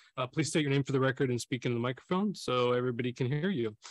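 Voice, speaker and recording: A man's voice, dry and echo-free, against a quiet background. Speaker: council chair. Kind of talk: formal meeting opening. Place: hall. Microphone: podium.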